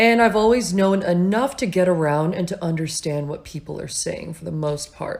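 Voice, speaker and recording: At a moderate pace and with hardly any pauses, a woman with a somewhat breathy voice speaks at medium pitch, showing ordinary pitch variation and big swings in loudness. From Japan and United States. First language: Japanese. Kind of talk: casual chat.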